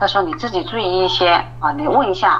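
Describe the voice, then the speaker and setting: Over noticeable background noise, a woman talks at a fairly quick pace and medium pitch with lively intonation. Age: 40s. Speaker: office clerk telling her marriage story. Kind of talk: personal testimony in a call-in interview.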